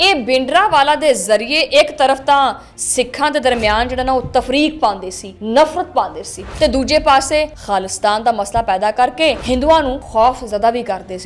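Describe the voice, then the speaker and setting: A woman speaks in a high voice with lively intonation and hardly any pauses. Her loudness swings widely, and background noise is noticeable. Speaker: news anchor and vlogger. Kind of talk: vlog commentary.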